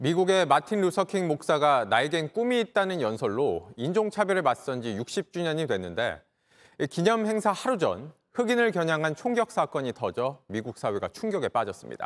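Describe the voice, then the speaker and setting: A man's fairly high voice with very wide pitch swings, recorded very cleanly against a silent background, with a dry, close sound and no echo. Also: moderate pace. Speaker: news anchor. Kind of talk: news reading. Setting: studio.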